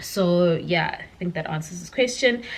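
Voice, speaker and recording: With a Zulu accent, a woman speaks at medium pitch in a bright, sharp tone. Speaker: science YouTuber. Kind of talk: explainer Q&A vlog. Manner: hesitant, many fillers.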